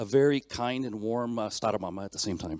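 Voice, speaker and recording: With a Canadian accent, a man speaks at a fairly quick pace and medium pitch with ordinary pitch variation, in a very clean recording with a silent background and a dry, close sound with no echo. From Canada. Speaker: mechanical engineer, conference speaker. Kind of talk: conference talk. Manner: fast.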